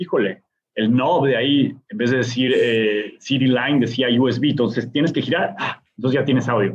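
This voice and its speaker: The man's voice sits at a medium pitch. His speed is moderate. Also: ordinary pitch variation. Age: 30s. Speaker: DJ and music producer. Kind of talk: interview conversation. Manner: animated.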